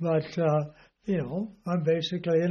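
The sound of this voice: At a fairly slow pace, a man talks in a slightly mellow tone.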